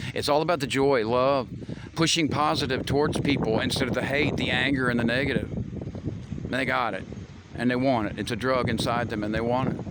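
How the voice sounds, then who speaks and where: An animated man of medium pitch with an American accent talks at a fairly quick pace, with audible room echo and noticeable background noise. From US Midwest, Missouri. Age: 50s. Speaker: vlogger. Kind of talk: monologue to camera.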